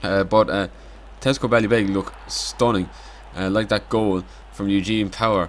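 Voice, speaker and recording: A man's fairly low voice with fairly even intonation and long, frequent pauses. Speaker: amateur football league commentator. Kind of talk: casual highlights commentary. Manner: hesitant, filler-heavy.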